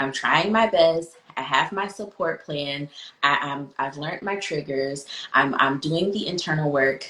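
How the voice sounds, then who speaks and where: Over noticeable background noise, a woman with a very deep, low voice speaks at a fairly slow pace with ordinary pitch variation. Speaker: psychologist and podcast host. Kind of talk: podcast conversation. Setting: virtual book tour conversation.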